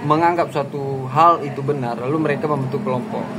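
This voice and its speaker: Amid noticeable background noise and audible room echo, a man talks at fairly high pitch with ordinary pitch variation. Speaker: YouTuber discussing social issues. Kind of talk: casual commentary monologue. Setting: outdoors by a main road, at a coffee spot. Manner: loud.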